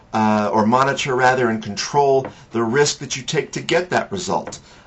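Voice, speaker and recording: A man talks at a medium pitch with ordinary pitch variation. It is an ordinary speaking voice. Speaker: financial advisor and blogger. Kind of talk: weekly market commentary monologue. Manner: casual with frequent fillers.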